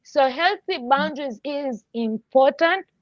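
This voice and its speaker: A woman is talking. She uses lively intonation. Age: 30s. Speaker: guest, mental health advocate and strategist. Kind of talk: casual chat.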